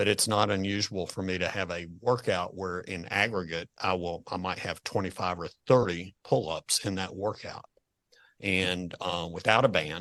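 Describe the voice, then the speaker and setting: Against a quiet background, a man with a very deep, low pitch and a bright, sharp tone speaks with fairly even intonation. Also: moderate pace. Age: 60s. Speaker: financial advisor podcast host. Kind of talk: podcast interview.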